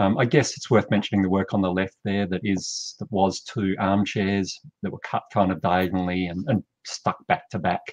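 In an Australian accent, the speaker talks at a fairly quick pace with fairly even intonation, against a quiet background and with a dry sound with no echo. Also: man. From South Australia. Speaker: artist and art school teacher. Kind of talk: interview about his artwork. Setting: video call. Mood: relaxed, reflective.

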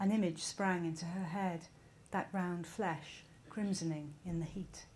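Over light background noise, a somewhat breathy woman speaks with fairly even intonation. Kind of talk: reading aloud from a novel. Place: stage. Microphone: podium.

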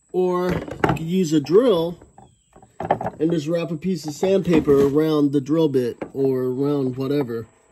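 A man talks at a fairly slow pace with ordinary pitch variation. There is noticeable background noise. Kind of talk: tutorial. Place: workshop. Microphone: phone near.

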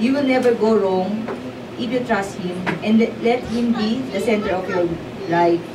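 Over noticeable background noise, the speaker talks in a Filipino accent at a moderate pace with ordinary pitch variation. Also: woman. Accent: Filipino English, Taglish. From Philippines. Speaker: prayer leader. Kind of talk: exhortation, preaching. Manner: earnest, fervent; animated, urging the listeners. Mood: earnest, devotional. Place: church.

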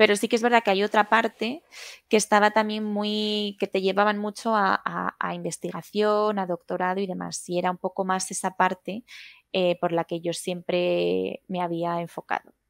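A woman talks in a monotone, flat intonation at a moderate pace. The sound is dry with no echo over a quiet background. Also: medium pitch for a woman. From Madrid, Spain; Spain. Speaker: food technologist; interview guest. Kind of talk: interview. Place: home room. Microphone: headset.

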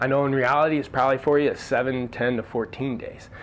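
With light background noise, a man speaks at a moderate pace and with fairly even intonation. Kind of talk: business tips talk to camera. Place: studio.

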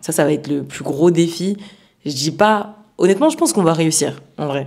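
A woman's fairly low, dark and mellow voice at a moderate pace, over a quiet background. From France (Jura, then Île-de-France); France. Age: 20s. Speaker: amateur footballer and youth football coach; youth football coach. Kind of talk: interview. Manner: hesitant, many fillers. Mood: calm, engaged. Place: home room. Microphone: handheld.

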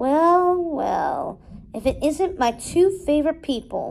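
A woman's drawling put-on character voice, high in pitch, at a fairly slow pace. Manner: slow, sly drawl.

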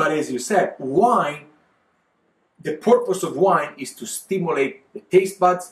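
In an Italian accent, a man talks at a fairly slow pace with a high pitch and an animated tone, and the room echo is audible. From Italy, Verona area (Veneto). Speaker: winemaker and wine exporter. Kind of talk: casual interview chat. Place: home room.

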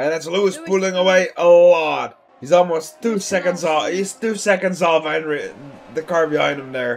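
A man with a high pitch and ordinary pitch variation over noticeable background noise. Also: fairly quick pace. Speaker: race commentator. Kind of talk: live race commentary. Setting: online sim racing stream. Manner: repeats phrases and corrects himself mid-call as the action unfolds.

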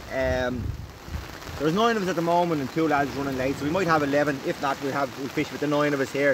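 A man at a fairly quick pace, in a dry sound with no echo, over noticeable background noise. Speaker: angler vlogger. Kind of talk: casual vlog chat. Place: tent. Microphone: phone near.

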